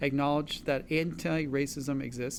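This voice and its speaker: Fairly even in intonation, a man talks at a moderate pace amid audible room echo. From Los Angeles area, California (immigrated from China at 6). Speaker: physician, co-host. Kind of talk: town hall panel moderation.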